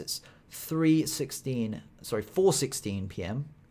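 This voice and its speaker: A fairly high-pitched man with a British accent speaks with lively intonation. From Britain. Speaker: stock trader streamer. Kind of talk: live trading stream commentary. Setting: live stream. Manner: casual, chatty.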